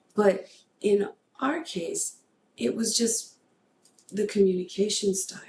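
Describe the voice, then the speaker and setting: A somewhat breathy woman at a medium pitch, with ordinary pitch variation and long, frequent pauses. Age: 50s. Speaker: podcast host. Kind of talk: casual chat.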